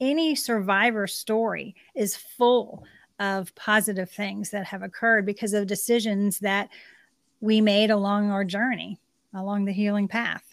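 A woman with an ordinary speaking voice at a fairly slow pace, ordinary pitch variation, and a dry, close sound with no echo on a very clean recording with a silent background. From Pennsylvania, Army brat (moved around). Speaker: author and life coach. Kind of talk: interview.

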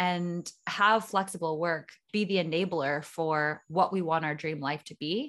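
An ordinary speaking voice with a Canadian accent moves at a fairly slow pace, with ordinary pitch variation and a quiet background. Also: woman. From Ontario, Canada. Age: 30s. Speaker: podcast host and entrepreneur. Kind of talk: interview conversation.

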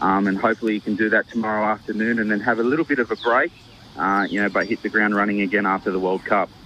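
With an Australian accent, a man speaks very fast at a fairly low pitch with fairly even intonation. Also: very even loudness.

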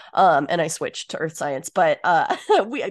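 Moderately paced, a woman speaks with vocal fry and very wide pitch swings. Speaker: podcast co-host. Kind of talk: casual podcast chat.

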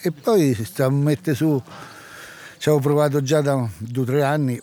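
A man in a rural central Italian accent at a fairly slow pace, fairly high in pitch with ordinary pitch variation and long, frequent pauses. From central Italy (Amatrice area). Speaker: cattle farmer. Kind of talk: interview. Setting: outdoors in village. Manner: halting.

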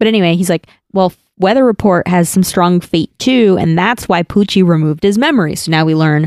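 A plain, everyday voice at a fairly quick pace with ordinary pitch variation, in a very clean recording with a silent background and a dry, close sound with no echo. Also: woman. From New Jersey. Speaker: podcast co-host. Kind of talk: casual chat.

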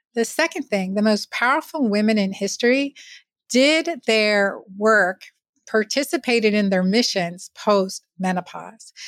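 At a fairly slow pace, a plain, everyday voice comes through with a dry, close sound and no echo. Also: woman, fairly high pitch for a woman. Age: 50s. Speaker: physician. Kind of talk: interview.

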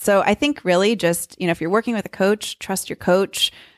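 In a very clean recording with a silent background and a dry, close sound with no echo, a woman speaks at a medium pitch in a plain, everyday voice. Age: 30s. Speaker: professional runner. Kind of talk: casual interview. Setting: in person, Cambridge, Massachusetts.

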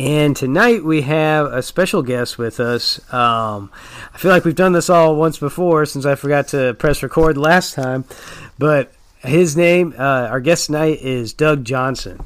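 A man with an American accent has an unremarkable speaking voice, fairly high in pitch. He speaks at a fairly slow pace with ordinary pitch variation. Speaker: podcast host. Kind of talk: casual chat.

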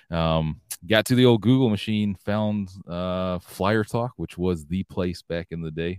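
A man speaks with a Southern US accent in a very deep, low voice with ordinary pitch variation. His pace is moderate, and the recording is very clean with a silent background. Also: dry, close sound with no echo. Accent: Southern US (Georgia). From US South, Georgia. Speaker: loyalty program executive. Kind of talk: casual interview.

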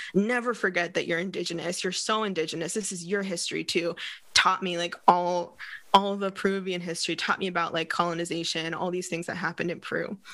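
A woman's fairly low voice with a bright, sharp tone in a Californian accent, monotone and flat, at a very fast pace against a quiet background. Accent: Californian American English. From Northern California. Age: 30s. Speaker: hypnotherapist and coach. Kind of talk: podcast interview.

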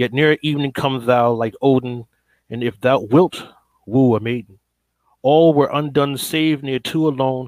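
A man with an American accent talks at a moderate pace and medium pitch, with fairly even intonation, in a plain, everyday voice. The sound is dry and close, with no echo. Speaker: poet. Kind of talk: poetry reading.

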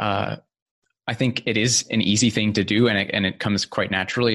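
Fairly low in pitch, a man with an American accent keeps his intonation fairly even. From California. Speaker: CE5 practitioner, podcaster. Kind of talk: interview. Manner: halting, many fillers.

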